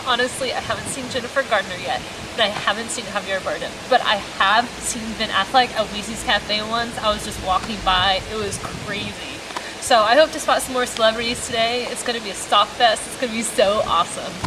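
With clearly audible noise around her, a woman talks fairly quickly, her pitch varying in a typical way. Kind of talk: casual vlog chat. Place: street. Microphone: camera far.

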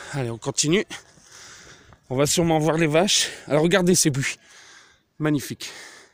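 A man's fairly high voice with ordinary pitch variation, moderate pace and long, frequent pauses. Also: dry, close sound with no echo. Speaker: hiking vlogger. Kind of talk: casual vlog narration while hiking. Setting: outdoors, mountain trail. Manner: informal, conversational.

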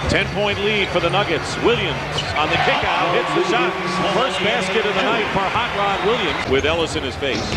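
Against loud background noise, a man speaks at a moderate pace with ordinary pitch variation in a dry sound with no echo. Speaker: play-by-play announcer. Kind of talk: commentary. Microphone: headset.

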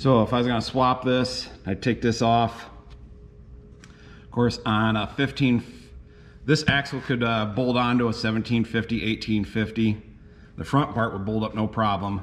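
Over music in the background, a man speaks at medium pitch and a fairly slow pace, with fairly even intonation and long, frequent pauses. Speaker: tractor restorer and video host. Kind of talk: hands-on repair tutorial. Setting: workshop. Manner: casual, folksy with frequent fillers. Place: workshop. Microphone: phone near.

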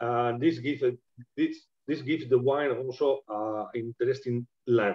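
A man talks in a Spanish accent with fairly even intonation. The background is quiet. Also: medium pitch for a man, moderate pace. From Spain. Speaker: winemaker. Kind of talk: live online wine tasting. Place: home room. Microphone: video call.

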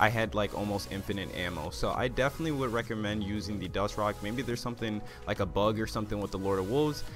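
A man with a fairly low pitch and ordinary pitch variation talks at a very fast pace. Music plays in the background. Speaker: gaming video creator. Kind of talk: gaming guide narration. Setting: low recording volume.

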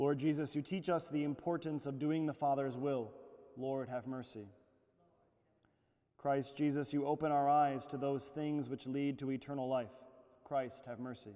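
Against a quiet background, a man with a dark, mellow tone speaks at a moderate pace. His intonation is fairly even, broken by long, frequent pauses. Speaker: priest leading mass. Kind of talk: liturgical prayer reading. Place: church. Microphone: lapel.

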